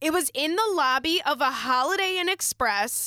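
A woman speaks at a very slow pace in a raised, projected voice. Her high pitch makes very wide swings, and her tone is bright and sharp. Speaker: podcast host. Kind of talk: casual chat.

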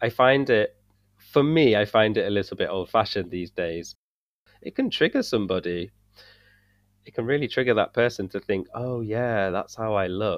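A man speaks with a British accent at a medium pitch. His pace is moderate and his pitch varies in an ordinary way. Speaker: English teacher and coach. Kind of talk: casual conversation.

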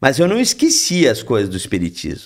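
Vocal fry roughens the man's fairly high-pitched voice. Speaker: spiritist speaker. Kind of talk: casual chat.

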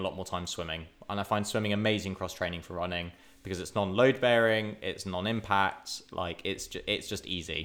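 With an ordinary speaking voice, a man of fairly low pitch talks at a moderate pace with fairly even intonation. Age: 20s. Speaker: podcast co-host, triathlete. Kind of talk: casual chat.

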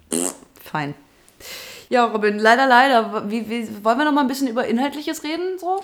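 A woman talks at a fairly quick pace with a high pitch that swings very widely. Her pauses are long and frequent. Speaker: podcast host and radio presenter. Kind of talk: casual chat.

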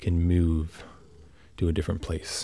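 A man's very deep, low pitch, somewhat breathy, with fairly even intonation. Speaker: podcaster. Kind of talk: solo monologue. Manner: meandering, halting.

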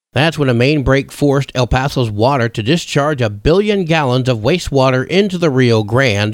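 Lively intonation and a moderate pace from a man with an unremarkable speaking voice. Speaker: radio news host. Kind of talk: radio news reading, scripted local bulletin. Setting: radio studio. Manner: formal, steady, brisk newsreader cadence.

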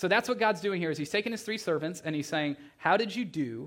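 On a very clean recording with a silent background, a man with a normal speaking voice talks at a moderate pace with lively intonation. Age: 30s. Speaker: pastor. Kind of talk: sermon. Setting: church. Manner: casual, filler-heavy.

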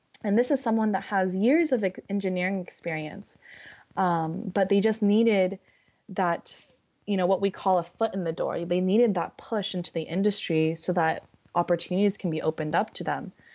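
Using a Californian accent, a woman speaks at a medium pitch and a moderate pace with ordinary pitch variation. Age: young. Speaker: recruiter. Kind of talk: casual chat. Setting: video call. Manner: halting, many fillers.

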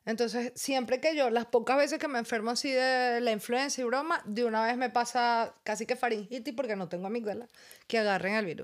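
A woman speaks at a moderate pace in a high voice with ordinary pitch variation, on a very clean recording with a silent background. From Venezuela. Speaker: podcast co-host and comedian. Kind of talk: casual chat.

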